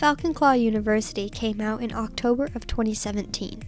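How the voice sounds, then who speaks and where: Music plays behind a woman speaking at a fairly quick pace. Her pitch is fairly high with ordinary variation. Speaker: Minecraft builder. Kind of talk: gaming build commentary.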